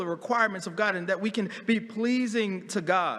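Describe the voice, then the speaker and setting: A man speaks at a high pitch with an animated tone and ordinary pitch variation. His pace is moderate, and the recording is very clean with a silent background. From US Northeast, Philadelphia. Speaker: pastor. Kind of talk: sermon. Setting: church. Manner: repetitive stammering restarts.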